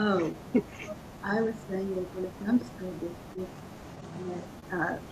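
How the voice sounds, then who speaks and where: Her pitch varies in an ordinary way as a woman talks. Audible room echo and noticeable background noise surround the recording. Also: medium pitch for a woman, fairly slow pace. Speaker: property owner joining by video call. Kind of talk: casual chat. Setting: video call. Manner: quiet. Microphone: too quiet.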